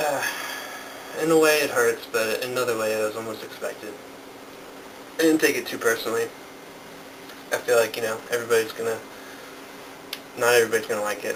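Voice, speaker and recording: A man's very fast speech broken by long, frequent pauses, over noticeable background noise. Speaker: video diarist. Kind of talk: vlog monologue. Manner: halting.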